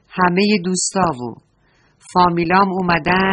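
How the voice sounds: Quiet surroundings behind a natural reading voice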